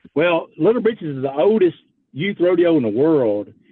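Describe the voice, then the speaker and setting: A man with a Louisiana accent. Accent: Louisiana Southern. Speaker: youth rodeo association president. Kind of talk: radio interview.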